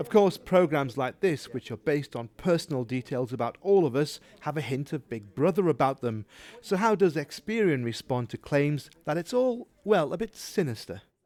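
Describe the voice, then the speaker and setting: Speaking at a moderate pace, a man with a slight Geordie accent uses a fairly high pitch with very wide pitch swings. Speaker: TV presenter. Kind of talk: scripted narration.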